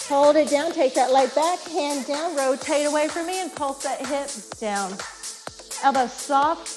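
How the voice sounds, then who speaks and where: A woman's high-pitched voice at a fairly slow pace, with clear music in the background. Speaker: fitness instructor. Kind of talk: exercise class cueing. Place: gym.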